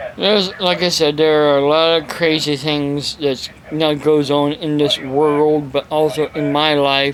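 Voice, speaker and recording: A man talks in a monotone, flat intonation with hardly any pauses. Noticeable background noise runs behind him. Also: fairly high pitch for a man, fairly slow pace. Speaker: evangelist preacher. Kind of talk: casual talk to camera.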